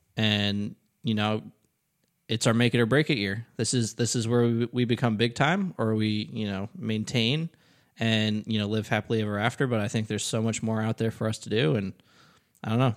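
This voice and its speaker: A man's ordinary speaking voice at medium pitch, fairly quick and fairly even in intonation, on a very clean recording with a silent background. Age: 20s. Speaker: digital marketing professional, podcast co-host. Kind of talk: casual chat.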